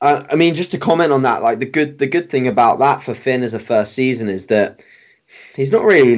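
With a British accent, a man talks using lively intonation. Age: 20s. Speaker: bodybuilding coach and competitor. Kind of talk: casual interview chat.

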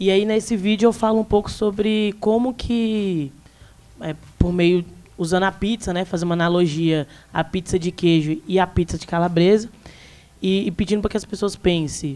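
A woman speaks at a moderate pace in an unremarkable speaking voice, her pitch medium and its variation ordinary. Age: 20s. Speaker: youtuber, student and activist. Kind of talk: live panel discussion. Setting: live recording at bookstore event with audience.

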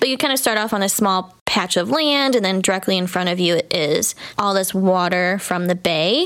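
A woman with a plain, everyday voice speaks at a medium pitch and moderate pace with hardly any pauses. Her intonation is lively and her loudness very even. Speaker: podcast co-host. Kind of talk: casual chat.

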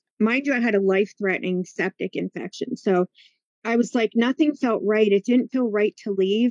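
A woman's plain, everyday voice at medium pitch, with ordinary pitch variation and a moderate pace, in a dry, close sound with no echo. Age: 50s. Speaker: healer and teacher. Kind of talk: testimony.

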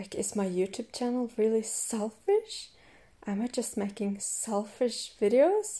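Everything unfolds at a very slow pace. A dark, mellow tone colors the voice. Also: woman. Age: 20s. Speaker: podcast host and coach. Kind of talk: casual monologue.

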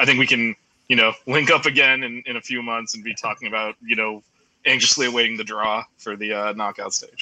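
A bright, sharp tone delivers the words at a very fast pace. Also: man. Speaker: guest soccer fan. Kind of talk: casual chat.

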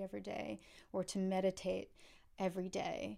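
A woman speaks at a moderate pace with a New York State accent. Her tone is dark and mellow. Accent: American (New York State). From upstate New York. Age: 30s. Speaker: cellist. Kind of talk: casual interview. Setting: video call.

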